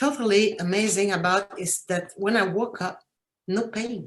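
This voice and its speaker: At a fairly slow pace, a woman talks with medium pitch and fairly even intonation. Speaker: cancer patient. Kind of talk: testimony. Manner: halting.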